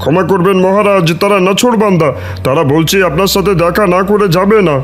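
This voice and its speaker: A man uses a high-pitched cartoonish character voice. Background noise is clearly audible. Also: moderate pace. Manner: deferential.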